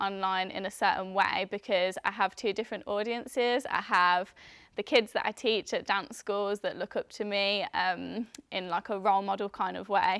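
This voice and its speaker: A woman talks at medium pitch and a moderate pace, in a normal speaking voice with fairly even intonation. The recording is very clean and dry, close with no echo, over a silent background. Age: 20s. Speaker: dancer and dance teacher. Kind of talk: interview testimony.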